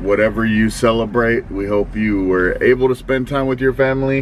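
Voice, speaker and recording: A man at a moderate pace with fairly even intonation, over light background noise. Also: dry sound with no echo. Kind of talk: casual vlog chat. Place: car. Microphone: phone near.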